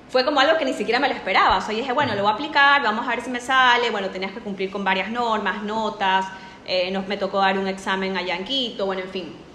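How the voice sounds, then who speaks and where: A woman speaks at a very fast pace with a fairly high pitch and ordinary pitch variation. Noticeable background noise and audible room echo are present. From Ecuador. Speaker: nutritionist. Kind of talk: casual interview.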